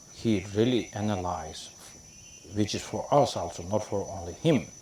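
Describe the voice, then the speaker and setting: Over a moderate pace, a man speaks at a fairly low pitch with ordinary pitch variation. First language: Tibetan. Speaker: Tibetan Buddhist lama teacher. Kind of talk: dharma teaching. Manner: halting, many fillers.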